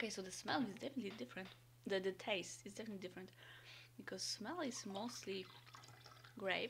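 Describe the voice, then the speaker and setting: Very fast, lively female speech at a medium pitch, with vocal fry. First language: not English. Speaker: military ration reviewer streamer. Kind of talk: live stream taste test. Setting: home room live stream. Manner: hesitant, many fillers.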